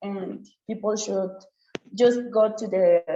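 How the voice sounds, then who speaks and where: Vocal fry marks a dark, mellow tone delivered at a very slow pace with ordinary pitch variation. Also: woman. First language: Chatino. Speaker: nurse and student scholar. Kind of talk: webinar presentation. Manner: halting, with many repetitions and fillers.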